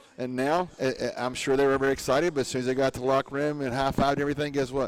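Through noticeable background noise, a man with a medium pitch speaks very fast in an animated tone. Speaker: radio co-host, former quarterback. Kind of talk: casual sports talk radio. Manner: jokey, animated.

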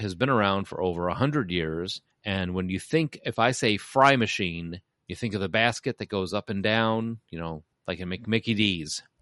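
Against a quiet background, with a dry, close sound and no echo, a man with a Chicago accent speaks at a moderate pace with a fairly low pitch and ordinary pitch variation. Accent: Chicago, Midwest US. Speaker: podcast host. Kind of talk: casual banter podcast.

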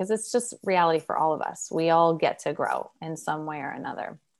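Fairly low in pitch, a woman talks with fairly even intonation in an unremarkable speaking voice. The recording is very clean, with a silent background. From Oregon. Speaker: psychologist and relationship coach. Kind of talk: interview.

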